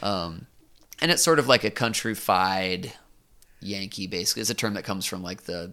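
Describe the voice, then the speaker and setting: With an American accent, a man speaks fairly quickly in a very deep, low pitch, using a bright, sharp tone, lively intonation and vocal fry. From US Northeast, southern Vermont. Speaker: musician. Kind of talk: casual interview. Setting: home studio.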